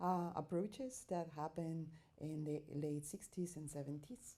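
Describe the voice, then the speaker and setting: In a Spanish accent, a woman talks with a fairly low pitch and a dark, mellow tone. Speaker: artist and researcher. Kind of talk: conference presentation. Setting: academic conference. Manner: halting, with many fillers.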